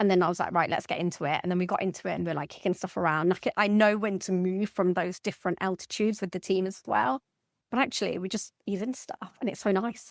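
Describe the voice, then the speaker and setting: A woman speaks at a very fast pace with ordinary pitch variation, her voice dry and close with no echo on a very clean recording with a silent background. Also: medium pitch for a woman. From Birmingham, England. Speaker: banking executive and public speaker. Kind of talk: podcast interview. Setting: podcast recording. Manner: casual, fast with false starts.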